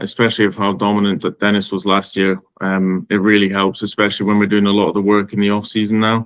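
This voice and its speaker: A man speaks here with a Scottish accent. His pitch sits fairly low. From Scotland, Aberdeen. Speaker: racing driver. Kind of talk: interview. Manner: hesitant, with fillers.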